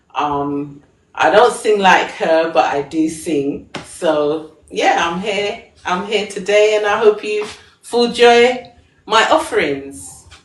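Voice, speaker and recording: In an English accent, a woman speaks at a very slow pace with a medium pitch and lively intonation. Audible room echo surrounds her voice. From England. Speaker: singer and fashion designer. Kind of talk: live stream talk.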